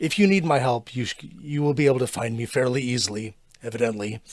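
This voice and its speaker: Very fast and raspy, a man uses a put-on character voice at a medium pitch. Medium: actual play. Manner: cryptic, measured.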